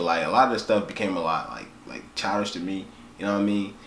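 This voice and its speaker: Very fast speech comes through audible room echo and noticeable background noise. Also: man. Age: young. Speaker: music reaction youtuber. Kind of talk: casual reaction video monologue. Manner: casual, slangy.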